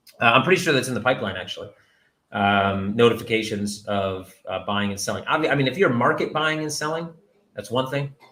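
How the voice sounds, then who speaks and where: A man speaks loudly at a fairly quick pace, his medium-pitched voice bright and sharp. His intonation is lively. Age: 40s. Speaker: company CEO hosting a Q&A. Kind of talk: livestream Q&A. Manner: casual, rambling with fillers.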